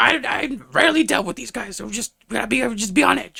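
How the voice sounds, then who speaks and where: A man puts on a raspy character voice pitched high. He speaks at a fairly quick pace. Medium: actual play. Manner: casual, rambling.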